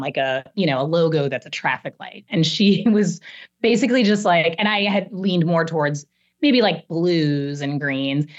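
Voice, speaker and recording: A woman with a plain, everyday voice speaks at a moderate pace, her fairly low pitch carried by lively intonation. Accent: American. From US Midwest, Chicago. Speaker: marketing executive. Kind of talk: interview.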